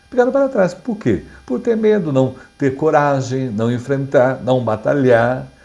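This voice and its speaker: Speaking at a fairly slow pace, a man has a fairly high pitch and a dark, mellow tone, his pitch swinging very widely. Audible room echo surrounds his voice. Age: 60s. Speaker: pastor. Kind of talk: sermon. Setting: online Bible class video. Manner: halting.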